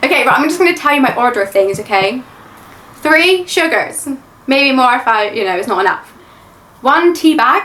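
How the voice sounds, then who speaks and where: Over noticeable background noise, a woman projects a raised voice at a high pitch with very wide pitch swings and long, frequent pauses. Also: moderate pace. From England. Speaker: YouTube reaction creator. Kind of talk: Q&A chat. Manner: says like a lot.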